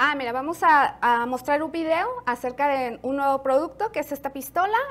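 The speaker talks at a fairly quick pace with a fairly bright tone and ordinary pitch variation. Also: woman, high pitch for a woman.

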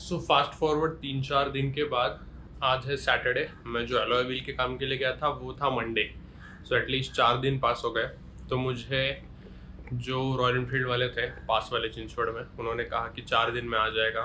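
Over light background noise, a man with a bright, sharp tone and vocal fry talks at a moderate pace in a monotone, flat intonation. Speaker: vlogger. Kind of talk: casual vlog chat. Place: home room. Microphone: phone near.

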